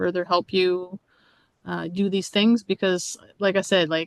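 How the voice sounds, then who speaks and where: Recorded with a dry, close sound and no echo, a woman speaks against a quiet background. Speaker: artist and workshop presenter. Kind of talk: workshop Q&A. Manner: animated.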